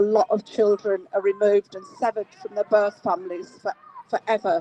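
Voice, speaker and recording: Against noticeable background noise, a woman with a fairly high pitch speaks at a moderate pace. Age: 60s. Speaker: feminist campaigner. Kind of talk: public speech. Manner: halting.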